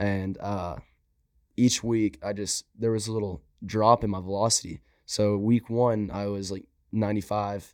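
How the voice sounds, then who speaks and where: Speaking at a moderate pace, a man uses a fairly low pitch. His intonation is fairly even. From Southeast Texas (Groves, near Louisiana border). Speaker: college baseball pitcher. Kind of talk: interview conversation. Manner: polite, often says yes sir.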